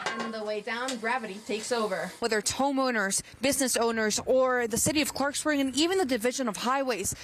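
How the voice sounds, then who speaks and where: Speaking very fast with hardly any pauses, a woman uses a high voice with ordinary pitch variation and an American accent. Noticeable background noise sits behind her. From Maryland, USA. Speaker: TV news reporter. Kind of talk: standup and live shot delivery.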